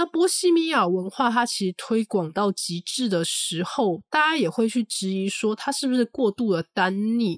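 A woman talks at a moderate pace with hardly any pauses, her fairly high voice making very wide pitch swings in a dry, close sound with no echo. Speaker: podcast host. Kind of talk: solo book review monologue.

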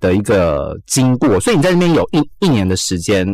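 Very wide pitch swings mark a man's fairly quick delivery. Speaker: radio host. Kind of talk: casual chat.

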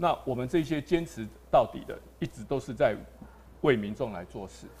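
Somewhat breathy, a man speaks at a moderate pace. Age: 50s. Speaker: local politician, council candidate. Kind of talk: live-streamed panel discussion. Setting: live broadcast venue with studio audience.

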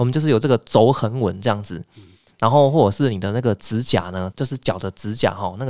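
On a very clean recording with a silent background, a man talks in a plain, everyday voice at a medium pitch, with ordinary pitch variation. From Taiwan. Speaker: podcast host. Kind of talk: casual interview.

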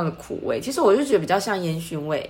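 Audible room echo surrounds a woman's voice. Her intonation is lively. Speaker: aromatherapy podcast co-host. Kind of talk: casual chat.

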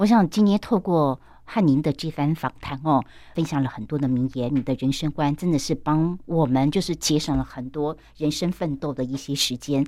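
In a very clean recording with a silent background, a woman speaks with a very deep, low pitch, a dark, mellow tone and ordinary pitch variation. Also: moderate pace. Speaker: podcast host. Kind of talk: interview. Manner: animated.

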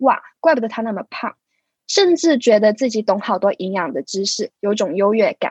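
In a dry, close recording with no echo, a woman with a plain, everyday voice talks at a moderate pace, her fairly high pitch carrying lively intonation. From Hong Kong. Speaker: physiotherapy student. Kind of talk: scripted narration.

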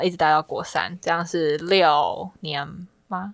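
A woman with a Taiwanese accent, fairly low in pitch, with ordinary pitch variation, against a quiet background. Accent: Taiwanese Mandarin. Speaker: university student. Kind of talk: casual chat.

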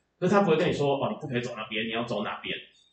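A man talks in a fairly high voice. Audible room echo and noticeable background noise accompany him. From Taiwan, Chiayi. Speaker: writer and creator. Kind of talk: interview conversation.

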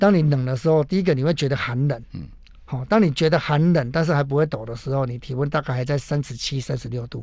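A man with a fairly high voice talks very fast and somewhat breathily, his pitch moving in an ordinary way. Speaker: emergency physician and mountain medicine doctor. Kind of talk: radio interview. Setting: radio studio.

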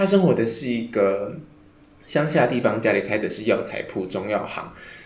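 With lively intonation and medium pitch, a man speaks in a room with audible echo. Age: 20s. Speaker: podcast host. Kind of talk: casual book discussion.

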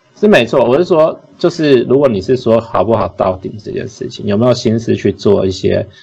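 Fairly quick delivery with lively intonation over noticeable background noise. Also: man. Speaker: podcast co-host, restaurant industry worker. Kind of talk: casual chat.

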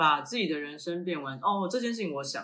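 With a Taiwanese accent, a man talks at a moderate pace in a fairly high pitch, his tone bright and sharp and his intonation lively. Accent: Taiwanese Mandarin. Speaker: podcast co-host, runs a branding and marketing firm. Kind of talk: casual chat.

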